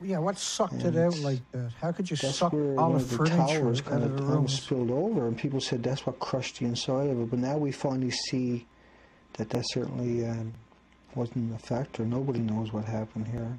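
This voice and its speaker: An ordinary speaking voice comes from a man at a medium pitch. He moves at a fairly quick pace, with ordinary pitch variation. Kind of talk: casual commentary on video footage, conspiracy-style analysis.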